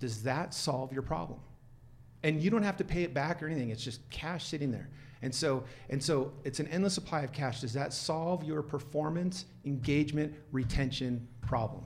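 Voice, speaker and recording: Somewhat breathy, a man talks at a moderate pace with a fairly high pitch. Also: ordinary pitch variation. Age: 50s. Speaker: HR and compensation consultant. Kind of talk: casual chat.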